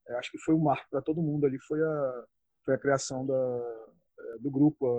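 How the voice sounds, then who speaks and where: A man's voice sits at a medium pitch, moving up and down in an ordinary way as he talks at a moderate pace. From Rio de Janeiro state, Brazil (Região dos Lagos). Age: 40s. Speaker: martial arts researcher and judo instructor. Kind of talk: interview. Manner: halting, with frequent repetitions and fillers.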